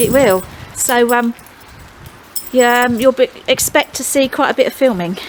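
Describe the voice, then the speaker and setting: Loud and high-pitched, a woman speaks at a moderate pace with ordinary pitch variation. Long pauses come often. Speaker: pond-building vlogger. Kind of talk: casual chat.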